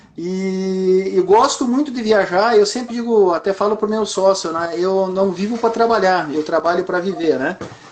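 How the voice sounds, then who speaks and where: Fairly slow pace, ordinary pitch variation, and noticeable background noise. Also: man. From southern Brazil (Rio Grande do Sul). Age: 60s. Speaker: entrepreneur. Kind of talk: interview. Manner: halting, frequent fillers.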